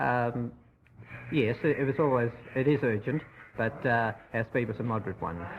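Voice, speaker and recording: Medium-pitched man with an Australian accent, moderate pace, and long, frequent pauses. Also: ordinary pitch variation. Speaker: ambulance driver. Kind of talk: radio news interview answer.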